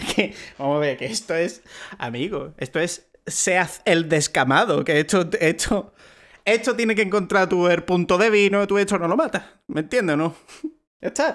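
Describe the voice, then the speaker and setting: With a quiet background, a man at a moderate pace speaks in a high pitch with lively intonation. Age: 20s. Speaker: podcast co-host. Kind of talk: casual chat. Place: home room. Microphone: headset.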